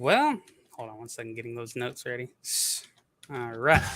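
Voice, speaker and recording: This man speaks with a Southern US accent and ordinary pitch variation. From US South. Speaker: YouTube commentator. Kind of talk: casual livestream chat.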